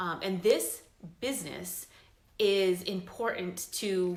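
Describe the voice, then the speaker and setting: The pitch varies in an ordinary way, and audible room echo can be heard. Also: woman. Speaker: fitness business coach. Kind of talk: recruitment pitch talk.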